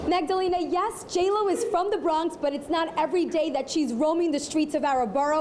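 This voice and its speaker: An extremely high-pitched woman's voice with ordinary pitch variation, over noticeable background noise. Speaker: TV news reporter. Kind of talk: TV news reporter stand-up and package narration.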